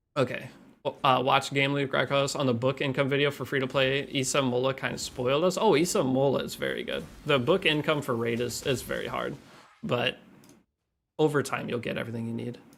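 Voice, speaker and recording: Over music in the background, the words come at a fairly quick clip. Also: man, medium pitch for a man, ordinary pitch variation. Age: 30s. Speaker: gaming streamer. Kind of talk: live stream chat. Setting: home apartment, streaming. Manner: loud; casual, rambling with fillers.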